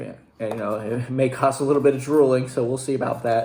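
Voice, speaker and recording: Very fast delivery from a man at medium pitch, varying in an ordinary way. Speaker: youtuber doing product tasting. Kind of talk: casual vlog tasting. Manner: casual with many fillers.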